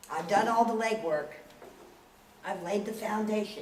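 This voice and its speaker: A woman with a medium-pitched voice speaks at a fairly slow pace with ordinary pitch variation, amid noticeable background noise and audible room echo. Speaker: aquaponics project founder presenting. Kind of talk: presentation to a society. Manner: animated.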